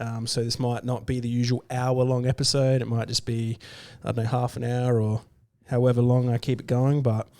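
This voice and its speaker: Speaking fairly quickly, a man with a medium pitch and a dark, mellow tone keeps a monotone, flat intonation. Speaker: vegan livestream host. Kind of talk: casual livestream talk. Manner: hesitant, many fillers.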